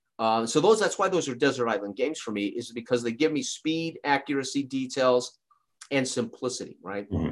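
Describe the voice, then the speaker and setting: With lively intonation and a medium pitch, a man speaks at a fairly quick pace. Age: 50s. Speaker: YouTuber who reviews tabletop sports games. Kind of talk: casual chat. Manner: rambling, halting.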